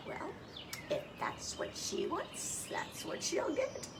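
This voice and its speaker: Someone uses a put-on character voice with an extremely high pitch at a very slow pace. Loud background noise runs underneath. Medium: read story. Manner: calm, gentle.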